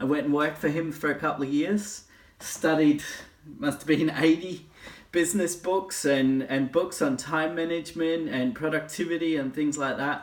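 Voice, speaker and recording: At a moderate pace, a man with an Australian accent speaks in a fairly high pitch with fairly even intonation. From Australia (eastern). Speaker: life coach. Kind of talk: casual talk to camera.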